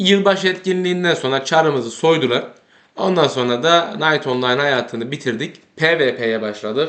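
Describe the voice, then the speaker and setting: An ordinary speaking voice from a man, fairly high-pitched with lively intonation, at a moderate pace. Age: 30s. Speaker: gaming YouTuber. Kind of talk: casual gameplay commentary.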